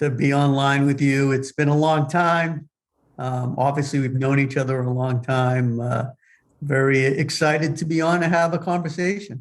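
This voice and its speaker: A man with a slight Boston accent, fairly high-pitched, at a moderate pace with fairly even intonation, against a quiet background. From US Northeast, Boston. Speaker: business executive. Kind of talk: interview. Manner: hesitant, many fillers.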